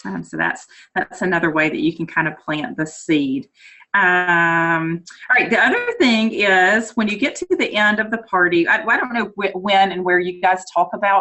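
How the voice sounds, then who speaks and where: A woman with a North Carolina accent talks at medium pitch in a bright, sharp tone with ordinary pitch variation. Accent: North Carolina country. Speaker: direct sales consultant. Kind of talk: training talk. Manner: fast.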